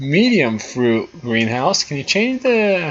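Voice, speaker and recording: A man with a non-native accent speaks at a fairly slow pace. His pitch swings very widely. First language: not English. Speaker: gaming YouTuber. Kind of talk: gameplay commentary. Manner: casual, thinking aloud.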